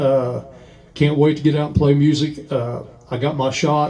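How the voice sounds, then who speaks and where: A man speaks in a fairly high voice with a dark, mellow tone. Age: 60s. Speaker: musician and record collector. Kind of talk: casual chat. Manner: halting, many fillers.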